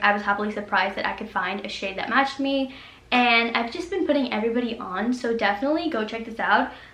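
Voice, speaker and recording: A woman's fairly high voice at a fairly quick pace, ordinary pitch variation, audible room echo and noticeable background noise. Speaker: beauty youtuber. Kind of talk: product review. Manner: fast.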